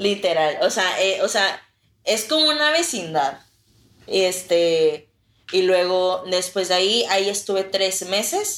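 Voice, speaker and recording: At a very slow pace, a woman speaks with lively intonation and very even loudness. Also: medium pitch for a woman. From northern Mexico, Reynosa, Tamaulipas. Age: 20s. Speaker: former inmate. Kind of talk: testimony.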